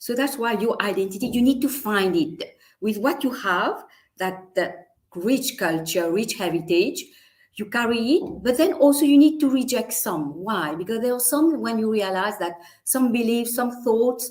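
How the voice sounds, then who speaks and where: With a Mauritian accent, a woman speaks at a moderate pace in a fairly high pitch that makes very wide pitch swings. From Mauritius. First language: Mauritian Creole. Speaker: teacher and storyteller. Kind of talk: interview. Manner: halting.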